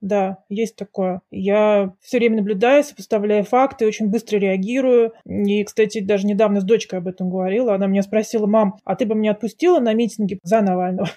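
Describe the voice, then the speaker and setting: A woman's dark, mellow voice at a fairly quick pace, with hardly any pauses and fairly even intonation, against a quiet background. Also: medium pitch for a woman. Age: 40s. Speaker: author and book publisher. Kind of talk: interview.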